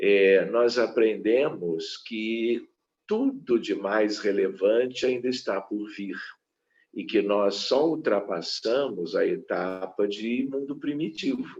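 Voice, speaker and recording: Pitch variation is ordinary as a man with a medium-pitched voice talks at a very slow pace. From southern Brazil, Porto Alegre. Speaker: physician and spiritist lecturer. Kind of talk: lecture. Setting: online live stream.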